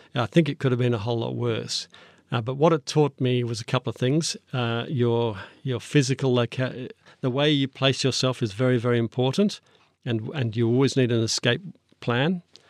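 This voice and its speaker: At a moderate pace and medium pitch, a man speaks with ordinary pitch variation, the recording very clean with a silent background and a dry, close sound with no echo. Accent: Australian. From Australia, northern New South Wales then Canberra. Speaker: foreign correspondent. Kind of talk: interview. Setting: studio.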